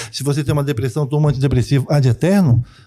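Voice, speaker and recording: This man's voice is somewhat breathy, with a dark, mellow tone and a fairly high pitch. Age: 60s. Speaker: traditional Chinese medicine practitioner. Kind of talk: interview.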